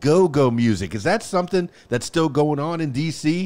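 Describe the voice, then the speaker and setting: In a very clean recording with a silent background, a man with an ordinary speaking voice talks at a moderate pace, his fairly high pitch carried by lively intonation. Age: 50s. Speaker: podcast host. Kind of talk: interview.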